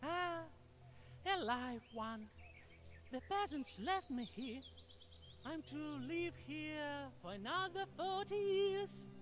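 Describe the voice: This is a cartoonish character voice at a very slow pace. Clear background noise is present.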